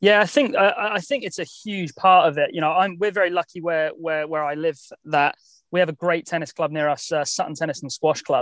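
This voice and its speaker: A high-pitched man with a southern English accent, at a fairly quick pace with ordinary pitch variation. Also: dry, close sound with no echo. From southern England, Southampton. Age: 30s. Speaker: tennis coach. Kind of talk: interview conversation. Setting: in a car.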